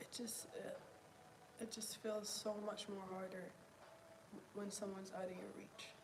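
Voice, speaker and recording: A soft-spoken woman talks at a fairly slow pace with long, frequent pauses and a monotone, flat intonation, over noticeable background noise and audible room echo. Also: medium pitch for a woman. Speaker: vlogger. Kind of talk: video journal monologue. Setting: at home on the couch. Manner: halting.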